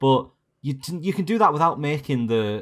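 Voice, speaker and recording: In a very clean recording with a silent background, a man speaks at a moderate pace with a slight Yorkshire accent. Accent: slight Yorkshire twang. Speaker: podcast guest. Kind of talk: casual chat.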